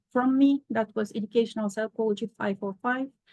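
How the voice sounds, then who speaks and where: In a dry, close sound with no echo, a woman with a non-native accent speaks fairly high and somewhat breathily. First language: not English. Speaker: professor. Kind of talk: lecture.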